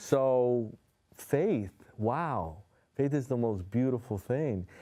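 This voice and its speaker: Very slow, lively speech from a man with a Spanish accent, a dark, mellow tone and medium pitch, on a very clean recording with a silent background. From New York City. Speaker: hypnotherapist. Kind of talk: interview. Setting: studio.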